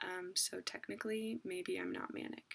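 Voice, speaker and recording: A woman is heard here. She is whispering. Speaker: parent. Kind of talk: casual talk to camera. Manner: whispered.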